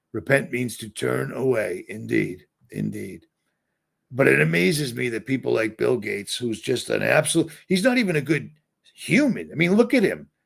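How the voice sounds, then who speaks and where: A man with an American accent speaks at a moderate tempo. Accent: Boston accent, trying to suppress it. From Boston, Massachusetts. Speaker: livestreamer. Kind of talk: livestream monologue. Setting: livestream. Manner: rambling, self-interrupting.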